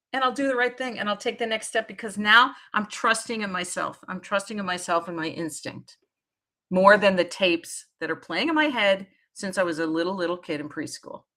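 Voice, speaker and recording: A woman's medium-pitched voice, bright and sharp in tone, with lively intonation at a moderate pace. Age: 60s. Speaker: career coach. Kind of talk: live stream talk. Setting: livestream.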